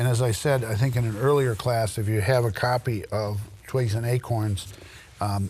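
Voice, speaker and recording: The speaker has an American accent and fairly even intonation, with audible echo from the room. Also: man. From US Midwest, Royal Oak, Michigan. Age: 80s+. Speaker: local historian and lecturer. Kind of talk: lecture. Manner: halting, many fillers.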